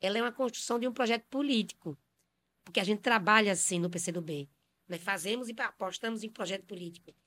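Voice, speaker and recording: The tone is bright and sharp, the pace fairly quick, and the recording very clean over a silent background. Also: woman, medium pitch for a woman, ordinary pitch variation. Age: 50s. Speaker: city councillor and poet. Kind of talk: panel discussion interview.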